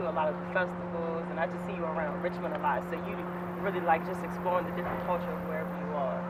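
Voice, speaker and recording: Flat and monotone, a woman speaks at a very fast pace with a fairly low pitch. Noticeable background noise is present. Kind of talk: interviewer, casual talk to camera. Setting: outdoors.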